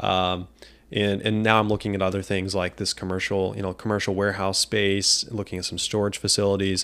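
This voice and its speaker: A man with an American accent, fairly low in pitch, fairly quick in pace, with monotone, flat intonation. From US Midwest, Quincy, Illinois. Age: 20s. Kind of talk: casual interview chat.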